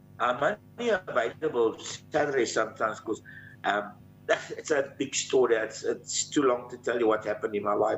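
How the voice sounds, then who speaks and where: A man speaks at a fairly quick pace and a medium pitch. Music plays in the background. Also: ordinary pitch variation. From South Africa, Johannesburg. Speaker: country musician. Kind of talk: interview.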